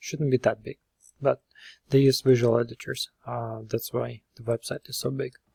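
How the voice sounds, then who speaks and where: A man's medium-pitched voice has a dark, mellow tone, somewhat breathy, with fairly even intonation. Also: dry, close sound with no echo. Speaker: web developer. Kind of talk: screen-recorded tutorial. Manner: hesitant, many fillers.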